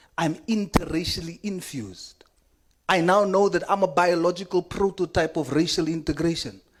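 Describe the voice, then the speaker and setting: The speaker talks with a South African accent. The pace is moderate. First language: Afrikaans. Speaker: member of parliament. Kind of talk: parliamentary committee speech. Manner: impassioned.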